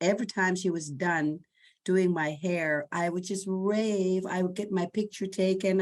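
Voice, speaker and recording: A woman speaks in a plain, everyday voice at a fairly low pitch. Her pace is fairly slow, and the background is quiet. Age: 60s. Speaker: salon client, communications specialist. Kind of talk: interview.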